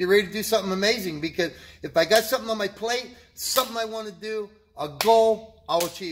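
A man's high, animated voice at a fairly quick pace with ordinary pitch variation, over light background noise. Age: 60s. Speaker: vlogger sharing health and fitness motivation. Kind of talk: motivational monologue. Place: gym. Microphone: phone near.

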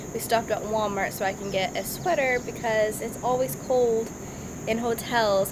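This woman speaks at a moderate pace. Noticeable background noise runs behind her. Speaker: vlogger. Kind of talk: casual vlog chat. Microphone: phone near.

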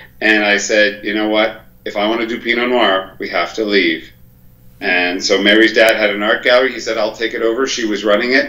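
A fairly low-pitched male voice at a fairly quick pace, flat and monotone, with audible room echo. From Quebec, Canada (Montreal, Eastern Townships). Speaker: winemaker. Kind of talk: live-streamed interview. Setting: video call from home. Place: home room. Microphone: video call.

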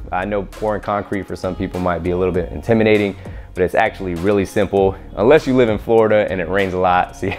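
Faint music plays behind a man with a very deep, low pitch who talks at a very fast pace with fairly even intonation. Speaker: DIY video creator. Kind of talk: tutorial. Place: garage.

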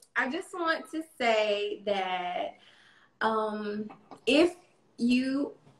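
Woman with a North Carolina accent, fairly high in pitch with ordinary pitch variation, amid light background noise and audible room echo. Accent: Southern US (North Carolina). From US South. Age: 30s. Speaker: domestic abuse survivor and poet; interview guest, poet. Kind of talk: interview. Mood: earnest, reflective, encouraging. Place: home room. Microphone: video call.

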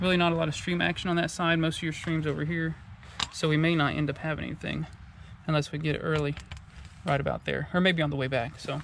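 Over light background noise, a man talks at a very fast pace in monotone, flat intonation, the sound dry with no echo. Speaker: outdoor vlogger. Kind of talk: casual vlog chat. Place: open country. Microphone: phone near.

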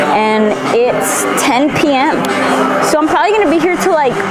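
Moderate-paced speech with clear music in the background. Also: woman. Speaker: fitness vlogger. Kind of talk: casual vlog chat. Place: gym. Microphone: lapel.

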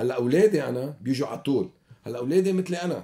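A man speaks in a dark, mellow tone at a moderate pace. His intonation is lively. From Lebanon, Beirut (Achrafieh); Lebanon. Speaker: Lebanese diaspora community leader; guest. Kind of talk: radio interview. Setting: studio. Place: studio. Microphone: studio mic.

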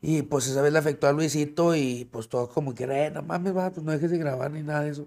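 A man's very fast delivery, fairly high in pitch, with fairly even intonation and hardly any pauses. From Monterrey, Mexico; Mexico. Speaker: plus-size model; podcast guest. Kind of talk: casual chat. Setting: studio with live audience. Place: studio.

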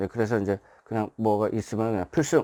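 A man talks at a fairly quick pace with medium pitch and an ordinary speaking voice. The recording is very clean, the background silent. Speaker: writer and former marine. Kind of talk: casual explanatory monologue. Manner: filler-heavy, repetitive (예, 이제, 뭐).

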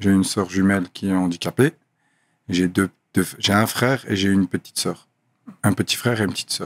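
A man speaks at a fairly quick clip with long, frequent pauses, his fairly low pitch held in a fairly even intonation. The sound is dry with no echo, over a quiet background. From Brussels, Belgium. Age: 30s. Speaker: professional boxer; podcast guest. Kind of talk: casual interview. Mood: calm, reflective. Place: studio. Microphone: studio mic.

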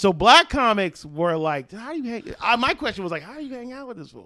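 Against a quiet, dry background with no echo, a man with a high pitch projects a raised, bright, sharp voice at a fairly quick pace, animated in tone, with very wide pitch swings and big swings in loudness. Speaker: comedian; podcast guest comedian. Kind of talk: casual chat. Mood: joking, playful. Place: home room. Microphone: handheld.

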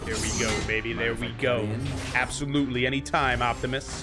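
A man speaks at a moderate pace with ordinary pitch variation while music plays clearly in the background. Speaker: reaction video host. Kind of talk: casual reaction commentary. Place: home room. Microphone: studio mic.

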